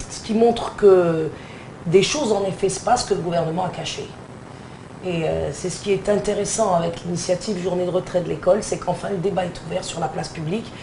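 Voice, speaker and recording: A woman puts on a hoarse character voice of medium pitch, talking at a fairly quick pace over noticeable background noise. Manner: public speaker, earnest.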